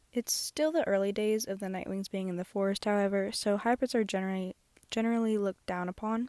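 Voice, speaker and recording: A woman speaks at a fairly quick pace in a medium pitch with fairly even intonation. The recording is very clean with a silent background, and the sound is dry and close with no echo. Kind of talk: casual speedpaint commentary. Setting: closet, earbud microphone. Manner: monotone, self-conscious.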